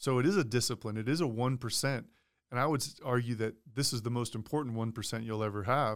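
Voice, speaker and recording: A very fast-talking man at a medium pitch, with ordinary pitch variation on a very clean recording with a silent background. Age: 30s. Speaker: purpose coach and former pro football player. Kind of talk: casual interview chat.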